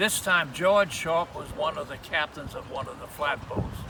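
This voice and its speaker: Noticeable background noise accompanies a man who speaks at a moderate pace in a high pitch with lively intonation. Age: 80s+. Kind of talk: interview answer. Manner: hesitant, rambling.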